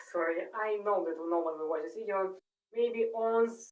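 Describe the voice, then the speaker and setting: Moderate pace, fairly even intonation and a non-native accent. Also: woman. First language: not English. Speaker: medical student. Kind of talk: unscripted study monologue. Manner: halting, many fillers and self-corrections.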